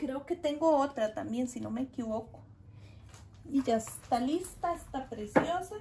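Over light background noise, a woman with a Costa Rican accent speaks at a fairly slow pace in a warm tone, high in pitch, with lively intonation. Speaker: gardening vlogger. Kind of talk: casual tutorial vlog. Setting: outdoors in garden. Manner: chatty, warm. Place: garden.

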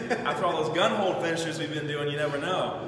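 There is audible echo from the room around the man, along with noticeable noise in the background. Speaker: fitness coach. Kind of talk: tutorial. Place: gym. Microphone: camera far.

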